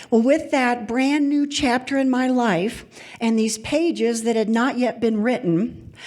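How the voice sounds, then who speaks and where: At a fairly slow pace, a woman speaks high in pitch with ordinary variation. Her loudness stays very even. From Kentucky, Louisville. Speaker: storyteller. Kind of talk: live storytelling.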